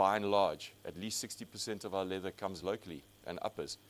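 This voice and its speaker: A man speaks at a fairly quick pace in a fairly low pitch, keeping his intonation fairly even. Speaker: industry executive presenting to college. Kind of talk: conference presentation with slides. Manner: fast.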